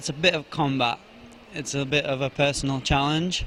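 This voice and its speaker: Noticeable background noise accompanies a man speaking with a Yorkshire accent. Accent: British, Yorkshire; mistaken for Australian. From Yorkshire, England. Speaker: arm wrestler, national champion. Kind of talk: interview at competition.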